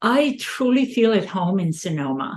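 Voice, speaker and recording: A woman's medium-pitched voice with a non-native accent. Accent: foreign. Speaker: podcast host. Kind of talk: interview.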